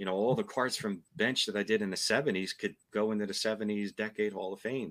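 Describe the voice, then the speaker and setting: A man with a fairly low pitch speaks in an ordinary speaking voice. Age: 50s. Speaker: card collector. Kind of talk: casual chat.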